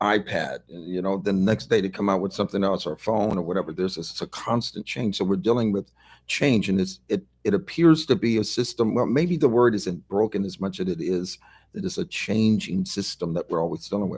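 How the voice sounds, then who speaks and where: This man has a plain, everyday voice, fairly low in pitch with ordinary pitch variation, captured in a very clean recording against a silent background. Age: 60s. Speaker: pastor. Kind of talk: casual chat.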